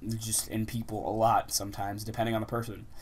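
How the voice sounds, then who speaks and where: Speaking at a fairly quick pace, a man has a fairly low pitch. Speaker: vlogger. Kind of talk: casual vlog monologue. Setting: outdoors. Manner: fast when excited.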